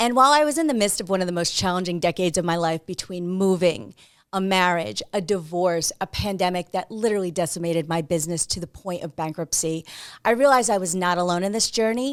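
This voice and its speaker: Very fast, lively speech from a medium-pitched woman with a New Jersey accent, on a very clean recording with a silent background. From New Jersey, US. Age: 40s. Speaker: podcast host. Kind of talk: monologue.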